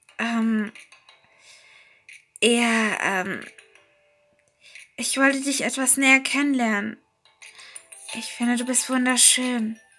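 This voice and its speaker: A woman with a high-pitched voice speaks very slowly, with fairly even intonation and long, frequent pauses, while music plays in the background. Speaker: storyteller. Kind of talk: horror story narration. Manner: long pauses.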